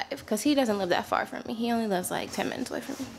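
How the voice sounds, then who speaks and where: Faint music plays behind a woman who talks at a very fast pace with ordinary pitch variation. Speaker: vlogger. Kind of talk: casual vlog chat. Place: home room. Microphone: phone near.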